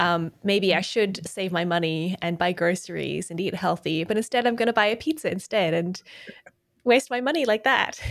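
With an Australian accent, a woman of medium pitch speaks at a moderate pace, her pitch varying in an ordinary way. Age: 30s. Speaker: podcast host. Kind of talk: interview. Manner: hesitant.

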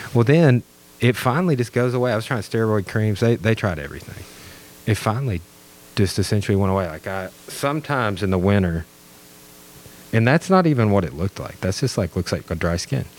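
Amid noticeable background noise, a man with a fairly low pitch speaks at a very fast pace with lively intonation, broken by long, frequent pauses. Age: 30s. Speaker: history teacher and podcaster. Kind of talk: casual chat.

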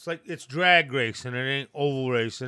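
A man with a Maine accent, medium in pitch and bright, sharp in tone, at a moderate pace, on a very clean recording with a silent background. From Maine, coastal (moved from Aroostook County at age 3). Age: 50s. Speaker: boatyard worker and former fisherman. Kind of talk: casual chat.

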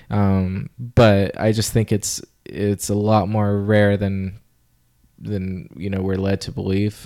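On a very clean recording with a silent background, a man with a fairly low voice speaks at a very slow pace and with fairly even intonation. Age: 30s. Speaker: podcast host and comedian. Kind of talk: casual chat. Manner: halting, many fillers.

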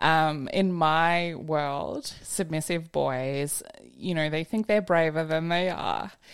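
Delivered in a plain, everyday voice, the speech is fairly slow and fairly even in intonation. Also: woman. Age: 30s. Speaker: content creator. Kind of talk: casual chat.

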